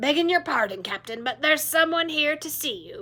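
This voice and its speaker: A woman puts on a raspy character voice, high-pitched and raised to project, with very wide pitch swings and big swings in loudness. She talks at a fairly quick pace. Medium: read story. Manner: clipped, respectful, dry.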